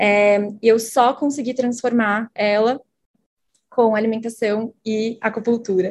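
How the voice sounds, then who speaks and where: Woman's fairly high voice in a monotone, flat intonation at a very slow pace. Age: 20s. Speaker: marketing lead. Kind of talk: casual chat.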